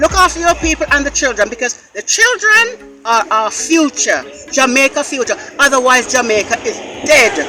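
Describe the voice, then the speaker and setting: A man projects a raised voice at an extremely high pitch, with very wide pitch swings. He keeps a moderate pace while music plays in the background. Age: 80s+. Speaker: local resident. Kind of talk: street interview. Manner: pleading.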